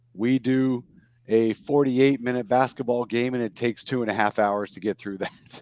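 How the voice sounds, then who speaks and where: An unremarkable speaking voice comes across at a moderate pace with ordinary pitch variation, recorded dry and close with no echo. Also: man. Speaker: podcast host. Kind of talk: casual chat.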